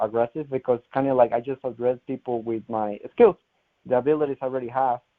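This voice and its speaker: A man with a strong Colombian accent, medium pitch, fairly even intonation and a fairly quick pace. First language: Spanish. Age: 20s. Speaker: final expense insurance salesman. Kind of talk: success testimonial interview. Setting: conference call. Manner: halting.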